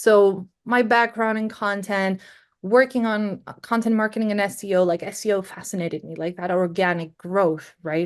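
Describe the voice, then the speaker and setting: Speaking with a Greek accent, a woman uses a medium pitch and fairly even intonation at a moderate pace. Her loudness swings widely. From Greece. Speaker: SEO and content marketing specialist. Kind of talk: podcast interview.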